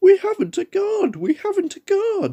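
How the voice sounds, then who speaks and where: A man does a squeaky put-on character voice at an extremely high pitch, keeping a moderate pace. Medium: read story.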